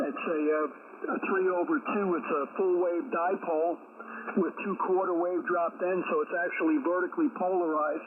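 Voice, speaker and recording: Noticeable background noise sits behind a man who speaks at a high pitch and moderate pace with lively intonation. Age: 70s. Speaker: ham radio operator. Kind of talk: radio contact conversation. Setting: amateur radio transmission.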